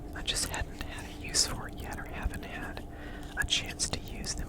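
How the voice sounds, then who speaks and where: Noticeable background noise behind a woman's whisper. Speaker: ASMR creator and polymer clay artist. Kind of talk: ASMR show and share, casual talk to camera. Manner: whispered, soft-spoken.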